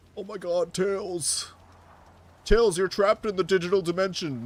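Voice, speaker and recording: High-pitched put-on character voice from a man, delivered at an even, middling speed. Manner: urgent, exclaiming.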